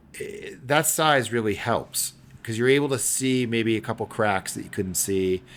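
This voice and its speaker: A man with an American accent speaks at a moderate pace in a plain, everyday voice. His pitch is medium with ordinary variation, and his loudness swings widely. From upstate New York. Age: 40s. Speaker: magazine editor and owner. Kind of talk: podcast interview.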